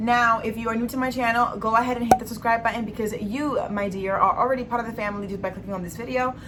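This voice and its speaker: A woman talks at a very fast pace and a fairly high pitch, with hardly any pauses and an animated tone. Audible room echo and noticeable background noise are present. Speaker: beauty and lifestyle vlogger. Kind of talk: monthly favorites vlog.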